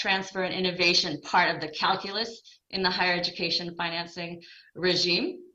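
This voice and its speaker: Her voice has a bright, sharp tone and a medium pitch. The woman talks at a fairly quick pace, with audible room echo. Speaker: development bank education specialist. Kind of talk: conference presentation. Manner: fast.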